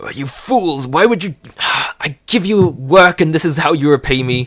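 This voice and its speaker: Putting on a character voice, a man speaks at a fairly high pitch and a moderate pace with lively intonation. His loudness swings widely, and the sound is dry and close with no echo. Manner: scolding, indignant.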